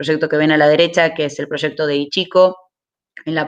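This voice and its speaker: The speaker has an Argentine accent and talks at a fairly quick pace. The background is quiet. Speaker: renewable energy speaker. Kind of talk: webinar presentation. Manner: fast.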